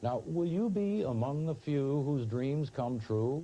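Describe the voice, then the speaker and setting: A man speaks at a fairly high pitch and moderate pace, with very wide pitch swings. His tone is dark and mellow, and somewhat breathy. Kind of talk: infomercial narration, promotional announcer read.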